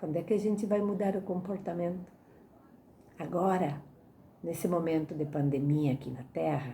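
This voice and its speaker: A woman's somewhat breathy voice with a dark, mellow tone, fairly low pitch and ordinary pitch variation, at a moderate pace with long, frequent pauses, amid audible room echo. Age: 60s. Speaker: spiritist lecturer. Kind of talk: religious lecture. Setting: online talk.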